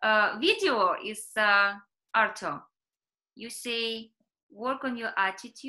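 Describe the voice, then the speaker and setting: A woman talks in a raised, projected voice with a bright, sharp tone. She goes at a very slow pace against a quiet background. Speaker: community group host. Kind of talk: interview. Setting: video call. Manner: halting. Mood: friendly, wrapping up. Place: home room. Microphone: video call.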